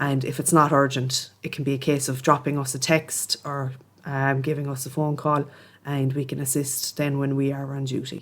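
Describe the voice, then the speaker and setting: In a Cork accent, the speaker talks in a flat monotone on a very clean recording with a silent background. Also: woman, very deep, low pitch for a woman, moderate pace. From Ireland, Cork. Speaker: police officer. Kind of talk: interview.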